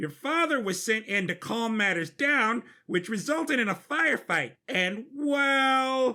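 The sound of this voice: A man's put-on character voice, extremely high-pitched, bright and sharp in tone, at a slow pace. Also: lively intonation.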